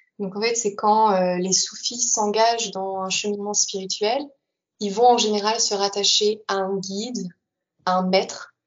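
Her intonation is monotone and flat. The woman talks at a medium pitch. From Paris region, France. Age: 20s. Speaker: former Sufi, podcast guest. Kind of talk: interview testimony.

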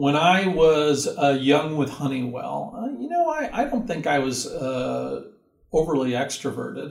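A man with an American accent, with audible room echo. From US West Coast (Southern California). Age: 60s. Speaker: university career center director. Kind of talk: interview. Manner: animated.

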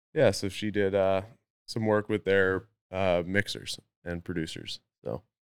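A man with a British Columbian accent and a very deep, low pitch speaks at a fairly slow pace with fairly even intonation and long, frequent pauses, on a very clean recording with a silent background and a dry, close sound with no echo. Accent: Canadian (British Columbia). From North Vancouver, Canada. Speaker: pro mountain biker. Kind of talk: casual chat.

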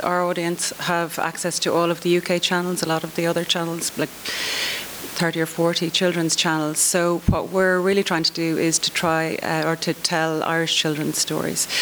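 A woman's fairly low pitch at a moderate pace, with noticeable background noise. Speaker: children's TV commissioner. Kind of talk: conference panel discussion.

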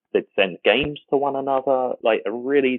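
A man with an English accent. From England. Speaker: fan community site founder. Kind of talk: casual chat. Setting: remote call across time zones.

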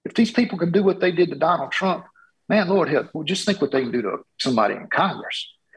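This man speaks with a Southern US accent at a very fast pace. His voice is high-pitched, with lively intonation. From Georgia, US South. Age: 50s. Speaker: congressional candidate. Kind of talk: interview.

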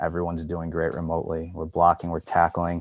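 Speaking at a fairly quick pace in a Western New York accent, a man with a very deep, low pitch is heard against a quiet background. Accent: Western New York (Inland North) American. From Buffalo, New York. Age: 40s. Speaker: commercial real estate executive. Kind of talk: interview. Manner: halting, many fillers and restarts.

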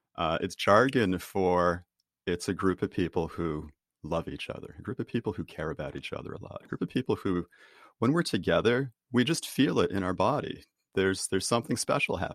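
A man with a Boston accent and fairly low pitch talks at a fairly quick pace with lively intonation, the sound dry and close with no echo. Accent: Boston American. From US, Boston. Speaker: author and team trainer. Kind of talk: interview. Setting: video call.

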